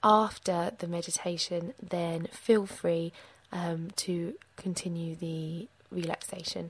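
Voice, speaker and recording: The voice is somewhat breathy. Its tone is gentle and soothing. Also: woman. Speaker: meditation guide. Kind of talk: guided meditation. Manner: slow, soothing, calm; gentle, measured, with pauses.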